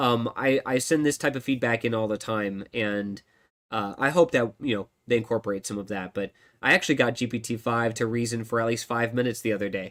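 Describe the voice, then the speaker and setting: A man at medium pitch and a fairly quick pace. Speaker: tech solution architect hosting live Q&A stream. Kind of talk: live stream tutorial and Q&A. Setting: live stream on camera. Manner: fast; animated.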